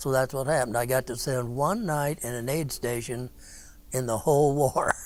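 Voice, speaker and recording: Music plays in the background as a man with an American accent talks in fairly even intonation. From US Midwest, Marshalltown, Iowa. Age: 80s+. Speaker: war veteran. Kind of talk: testimony. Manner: halting, with repeated words.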